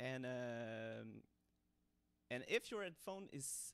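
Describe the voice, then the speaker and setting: The man talks with a non-native accent. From Montreal, Canada. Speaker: hobbyist 3D designer. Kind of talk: casual tutorial talk to camera. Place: home room. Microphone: studio mic.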